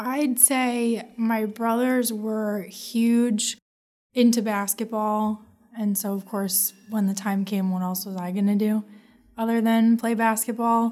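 A woman with an American accent speaks at a very slow pace, her fairly high pitch carrying a dark, mellow tone. Her intonation stays monotone and flat. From New Jersey. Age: 20s. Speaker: accident survivor. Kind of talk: interview testimony.

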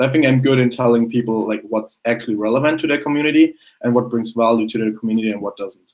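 The speaker has a German accent and talks at a very fast pace. Intonation stays fairly even. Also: man, medium pitch for a man. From Germany. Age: young. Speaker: personal branding consultant and photographer. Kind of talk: casual interview.

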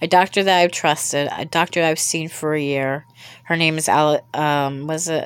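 With an American accent, a woman speaks in a very deep, low voice with fairly even intonation. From US. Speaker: podcast host. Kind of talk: solo monologue. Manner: halting.

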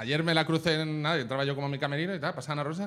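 Very fast speech from a man at a fairly high pitch. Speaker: comedian. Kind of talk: casual chat. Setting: stage with audience.

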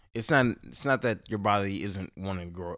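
Here is a man with a very deep, low voice and an American accent, speaking at a moderate pace. The recording is very clean, the background silent. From Houston, Texas. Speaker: spiritual guide. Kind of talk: casual chat. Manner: animated.

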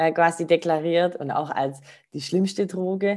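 Over a quiet background, a woman speaks with a very deep, low pitch and a dark, mellow tone. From Baden-Württemberg (Rottweil). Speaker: spiritual practitioner. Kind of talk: interview.

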